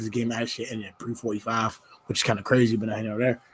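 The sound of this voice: A man uses a put-on character voice, hoarse and raspy at medium pitch. He races along very fast in a monotone, flat delivery with big swings in loudness.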